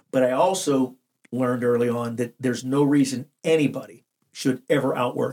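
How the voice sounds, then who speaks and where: At a fairly slow pace, the speaker uses an American accent with ordinary pitch variation. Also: man. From western Pennsylvania, Washington County. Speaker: business development director and leadership coach. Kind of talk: interview, personal story.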